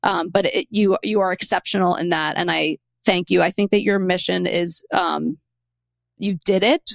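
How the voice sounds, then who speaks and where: A woman with an American accent speaks at a moderate pace. The sound is dry and close with no echo. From New York City (Queens). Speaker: podcast host. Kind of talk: interview. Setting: studio.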